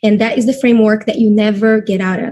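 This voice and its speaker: A woman speaks with a Brazilian Portuguese accent at a moderate pace. Her voice is fairly high and somewhat breathy. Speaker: network marketing leader. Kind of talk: webinar presentation.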